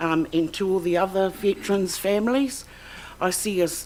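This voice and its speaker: A woman with a New Zealand accent speaks at a medium pitch. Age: 60s. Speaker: claimant witness. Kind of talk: testimony. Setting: tribunal hearing. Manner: halting.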